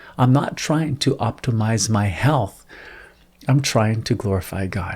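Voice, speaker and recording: A man's somewhat breathy voice at medium pitch, with ordinary pitch variation and a moderate pace. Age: 40s. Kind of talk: religious reflection monologue.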